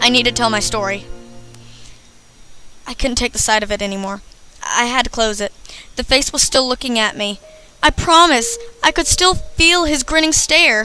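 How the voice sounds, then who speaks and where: Over noticeable background noise, a woman with an American accent speaks at a moderate pace in a high voice, her intonation lively and her pauses long and frequent. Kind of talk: creepypasta horror story reading. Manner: dramatic.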